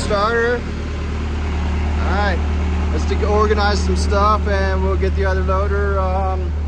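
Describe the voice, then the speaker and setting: Loud noise surrounds a man as he talks. There is no echo, and the sound is dry. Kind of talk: casual vlog chat. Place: garage. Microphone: phone near.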